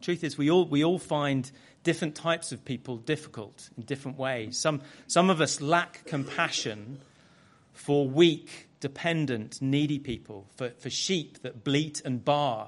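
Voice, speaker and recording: This man has an unremarkable speaking voice, fairly high in pitch. He talks fairly slowly with ordinary pitch variation. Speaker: guest preacher. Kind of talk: sermon. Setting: church.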